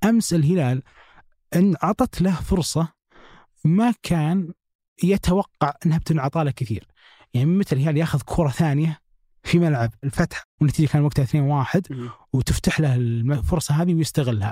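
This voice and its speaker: Dry and close with no echo, this very clean recording with a silent background has a man speaking at a moderate pace in a somewhat breathy voice with a dark, mellow tone, fairly high pitch, lively intonation and very even loudness. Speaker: football podcast host. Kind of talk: casual football analysis chat.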